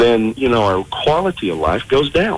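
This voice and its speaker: Over noticeable background noise, a man with an American accent talks at a moderate pace with lively intonation. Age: 60s. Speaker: aging and fitness expert. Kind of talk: radio talk show interview.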